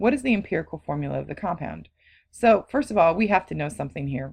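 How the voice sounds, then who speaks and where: A woman with vocal fry talks with lively intonation against a quiet background. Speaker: chemistry teacher. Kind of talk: lecture. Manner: fast.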